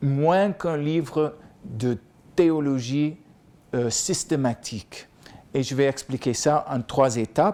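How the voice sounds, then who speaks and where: Very slow speech from a man with an American accent, fairly high-pitched with a dark, mellow tone, ordinary pitch variation, and long, frequent pauses. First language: English (speaking French). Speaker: professor. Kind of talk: lecture.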